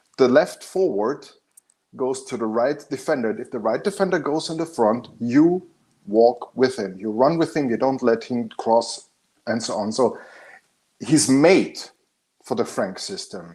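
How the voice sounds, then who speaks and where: A man with a German accent, medium pitch and a dark, mellow tone, lively intonation at a fairly slow pace, long and frequent pauses, on a very clean recording with a silent background. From Austria. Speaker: football fan panelist. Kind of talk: casual chat. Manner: animated.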